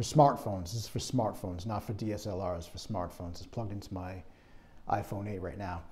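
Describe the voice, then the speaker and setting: A man speaks at a moderate pace in a fairly low pitch, his voice somewhat breathy. Light background noise can be heard. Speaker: product reviewer. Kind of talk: casual review talk. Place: home room. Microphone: lapel.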